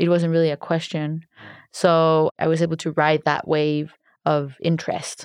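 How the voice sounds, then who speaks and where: A woman's very deep, low-pitched voice in a Spanish accent, monotone, flat intonation, very even loudness and moderate pace. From Colombia. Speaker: art director and DJ. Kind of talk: interview.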